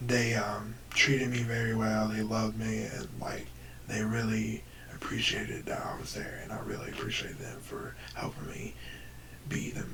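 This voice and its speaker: There is noticeable background noise in the clip. The speech moves at a moderate pace. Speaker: YouTuber. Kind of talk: storytelling. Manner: halting.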